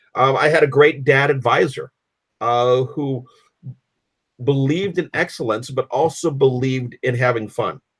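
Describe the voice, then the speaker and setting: A somewhat breathy man with an American accent, at a moderate pace, with fairly even intonation and long, frequent pauses. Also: medium pitch for a man. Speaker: fraternal organization leader. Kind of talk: interview. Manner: halting, many fillers and repetitions.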